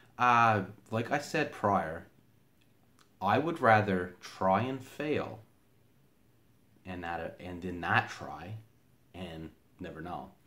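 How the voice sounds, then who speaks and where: The voice has lively intonation and big swings in loudness, with long, frequent pauses and audible room echo. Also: man. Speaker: aspiring motivational speaker. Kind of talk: motivational talk. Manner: halting, frequent fillers and repeated words.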